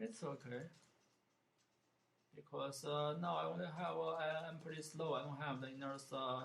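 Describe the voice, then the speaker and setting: A man with a non-native accent speaks at a moderate pace with a fairly high pitch and fairly even intonation. He leaves long, frequent pauses, and the room echo is audible. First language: not English. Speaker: gaming streamer. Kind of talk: gameplay commentary. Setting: live stream. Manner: halting, many fillers.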